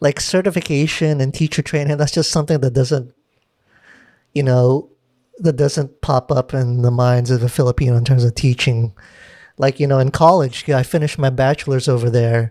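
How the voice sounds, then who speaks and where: A man with an American accent speaks at medium pitch and a moderate pace, his tone dark and mellow, his intonation fairly even and his loudness very even. The sound is dry and close with no echo, on a very clean recording with a silent background. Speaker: podcast host and videographer. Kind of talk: casual chat. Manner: casual, filler-heavy.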